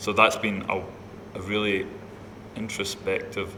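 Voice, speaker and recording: A man talks in a Scottish accent at a fairly low pitch. His intonation is monotone and flat, with noticeable background noise. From Scotland. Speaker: opera singer, music student. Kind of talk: interview.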